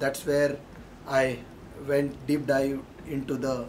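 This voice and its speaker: Over light background noise, a man with a Marathi Indian accent speaks at a fairly slow pace in a fairly high pitch, his intonation monotone and flat. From Maharashtra, India. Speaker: engineering consultant. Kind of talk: alumni testimonial. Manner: hesitant, many fillers. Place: meeting room. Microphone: camera far.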